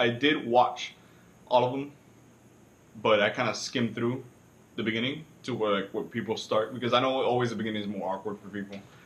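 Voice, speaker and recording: A man with a Cuban accent at medium pitch, fairly quick pace, long, frequent pauses and fairly even intonation. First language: Spanish. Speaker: student. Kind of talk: self-reflection video. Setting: alone speaking to camera. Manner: hesitant, many fillers.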